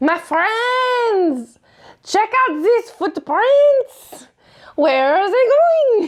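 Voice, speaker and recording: A put-on character voice, female-sounding and extremely high in pitch, speaks at a very slow pace. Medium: actual play. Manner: bubbly, effusive.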